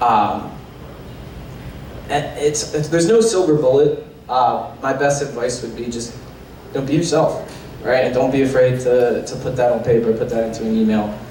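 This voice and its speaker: A man with a Philadelphia accent speaks at a moderate pace and medium pitch, his intonation fairly even. Long, frequent pauses break his speech, with noticeable background noise and audible room echo. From Philadelphia, US. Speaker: sales professional. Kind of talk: panel discussion.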